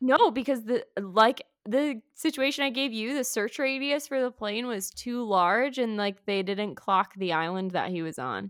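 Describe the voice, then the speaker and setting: A woman with a normal speaking voice talks at a fairly slow pace with hardly any pauses, her fairly high pitch carrying lively intonation on a very clean recording with a silent background. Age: 20s. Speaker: teacher and podcast co-host. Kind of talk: casual chat.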